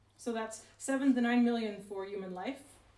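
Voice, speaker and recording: Over noticeable background noise, a woman speaks in a fairly high pitch with fairly even intonation. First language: not English. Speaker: researcher on inequality. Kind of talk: talk at a public event. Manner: casual, hesitant with fillers.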